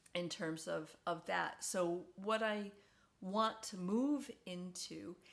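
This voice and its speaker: An unremarkable speaking voice from a woman, her pitch medium and ordinary in its variation. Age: 60s. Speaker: video diarist, stomach cancer survivor. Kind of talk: casual personal vlog. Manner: conversational with frequent fillers and repetitions.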